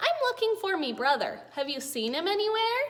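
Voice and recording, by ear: A woman uses a put-on character voice at an extremely high pitch. Her pitch swings very widely at a moderate pace.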